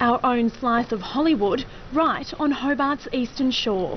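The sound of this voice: A woman speaks at a fairly slow pace. Her pitch is fairly high, with ordinary variation.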